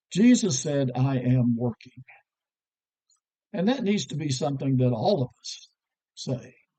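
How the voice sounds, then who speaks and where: A man speaks at a fairly slow pace with long, frequent pauses. His dark, mellow tone sits at a medium pitch with lively intonation. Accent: American. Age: 60s. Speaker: preacher. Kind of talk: devotional talk.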